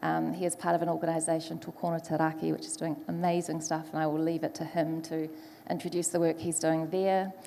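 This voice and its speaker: A woman talks at a very fast pace with fairly low pitch. Her New Zealand accent comes with monotone, flat intonation. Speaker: panel moderator, foresight specialist. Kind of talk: panel discussion moderation.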